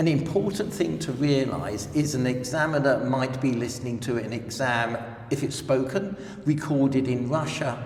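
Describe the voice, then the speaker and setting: Recorded with noticeable background noise and audible room echo, a man speaks at a moderate pace with medium pitch and ordinary pitch variation. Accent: London. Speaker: language exam representative. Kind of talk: interview. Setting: language center.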